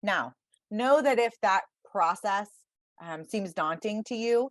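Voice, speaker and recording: With a normal speaking voice, a woman talks at a moderate pace and medium pitch, her intonation lively. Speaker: test prep advisor. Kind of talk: virtual workshop presentation.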